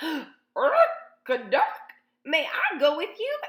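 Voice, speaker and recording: A woman uses a put-on character voice at an extremely high pitch, speaking at a fairly slow pace. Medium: read story.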